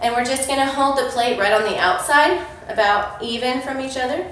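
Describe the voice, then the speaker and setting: A woman with an American accent talks at a moderate pace in a high pitch with ordinary pitch variation, over audible room echo and noticeable background noise. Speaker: fitness coach. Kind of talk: workout tutorial. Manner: energetic.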